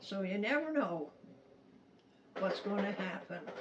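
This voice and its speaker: There is noticeable noise in the background. Through it, a woman talks at a medium pitch. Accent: American. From Utah, USA. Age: 80s+. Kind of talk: family storytelling to camera.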